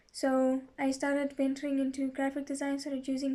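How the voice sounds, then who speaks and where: A woman's high, dark and mellow voice at a moderate pace, flat and monotone. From Zimbabwe. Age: 20s. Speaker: account manager. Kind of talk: testimony.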